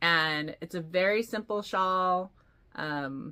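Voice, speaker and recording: A woman's bright, sharp tone comes through on a very clean recording with a silent background. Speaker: knitting podcaster. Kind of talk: casual chat. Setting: home video recording. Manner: animated.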